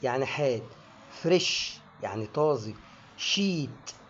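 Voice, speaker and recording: A man speaks with an Egyptian accent. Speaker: English pronunciation teacher. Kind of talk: educational lesson to camera.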